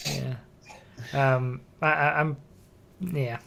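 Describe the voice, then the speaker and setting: On a very clean recording with a silent background, a man speaks in a bright, sharp tone at medium pitch with ordinary pitch variation. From Northeast England. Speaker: podcast host. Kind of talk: casual chat.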